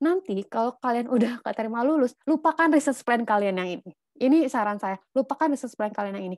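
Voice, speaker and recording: Against a quiet background, a woman speaks very fast in a high pitch with hardly any pauses, her tone animated, her intonation lively and her loudness swinging widely. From Indonesia. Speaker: scholarship mentor. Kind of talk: online lecture. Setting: video call. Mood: casual, encouraging. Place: home room. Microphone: video call.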